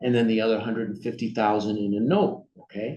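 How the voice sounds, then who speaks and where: A man's voice, medium in pitch, carries audible room echo. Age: 40s. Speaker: workshop presenter. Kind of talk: workshop lecture. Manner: conversational, frequent fillers and okay checks.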